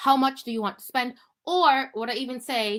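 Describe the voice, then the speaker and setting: A woman talks in an animated tone. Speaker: business coach. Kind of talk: live training webinar. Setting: livestream.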